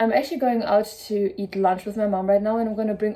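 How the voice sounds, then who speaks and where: In a German accent, a woman speaks with monotone, flat intonation, a dark, mellow tone and a fairly high pitch. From Germany. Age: 20s. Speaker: sewing content creator. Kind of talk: casual vlog.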